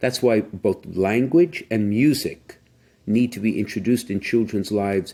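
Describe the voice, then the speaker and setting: Fairly low-pitched male voice with a dark, mellow tone and an American accent, at a moderate pace. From US Northeast. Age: 60s. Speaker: bishop. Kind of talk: casual chat.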